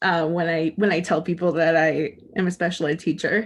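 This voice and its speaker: An American accent at a moderate pace over a quiet background. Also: woman. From US Pacific Northwest (Portland, Oregon). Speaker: death doula and special ed teacher. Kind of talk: panel discussion. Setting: webinar video call. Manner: loud and boisterous.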